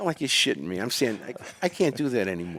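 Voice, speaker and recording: With an American accent, a man speaks very fast at a fairly low pitch, using an animated tone, very wide pitch swings and vocal fry. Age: 70s. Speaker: podcast guest. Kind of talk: casual chat. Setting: studio with live audience.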